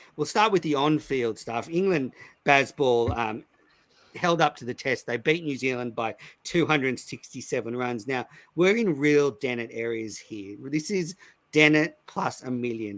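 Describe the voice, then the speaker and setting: An Australian-accented man with a medium pitch speaks at a moderate pace and with lively intonation on a very clean recording with a silent background. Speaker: cricket podcast host. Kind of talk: casual chat. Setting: live stream recording.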